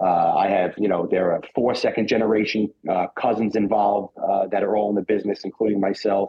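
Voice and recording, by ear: A man talks at a fairly quick pace with a fairly low pitch. His voice has a slightly husky edge and fairly even intonation.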